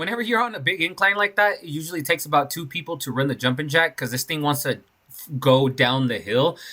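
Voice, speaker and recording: On a very clean recording with a silent background, a man talks at a very fast pace with lively intonation and a bright, sharp tone. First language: not English. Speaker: concrete contractor. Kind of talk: casual job-site vlog narration.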